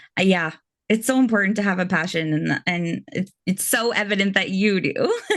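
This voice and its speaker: This woman has a Canadian accent and an ordinary speaking voice. Her pitch sits in the medium range with ordinary variation, her loudness is very even, and her pace is moderate. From Canada. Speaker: interviewer. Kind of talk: interview.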